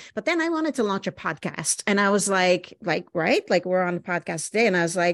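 A woman with a normal speaking voice talks at a fairly quick pace. Her medium pitch carries lively intonation. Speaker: podcast host. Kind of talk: interview conversation. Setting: video call.

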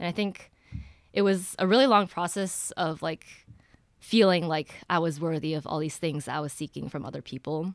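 This woman has an American accent and a very deep, low pitch with vocal fry. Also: very clean recording, silent background. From US Midwest, Ann Arbor, Michigan. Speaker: college student sharing mental health story. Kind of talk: personal testimony.

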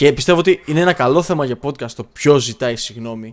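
Fairly quick delivery in a plain, everyday voice, its pitch varying in an ordinary way. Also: man. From Greece. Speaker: podcast co-host. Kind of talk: casual chat.

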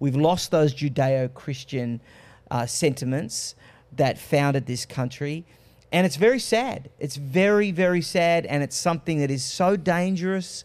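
Recorded very cleanly against a silent background, a man with an Australian accent speaks fairly slowly in a fairly high pitch with ordinary pitch variation. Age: 30s. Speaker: political commentator. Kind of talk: panel discussion.

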